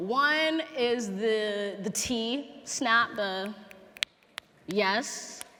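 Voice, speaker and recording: Lively intonation marks this voice with an American accent. Noticeable background noise is present. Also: woman. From Los Angeles. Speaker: poet. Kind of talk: talk to live audience. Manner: warm, humorous.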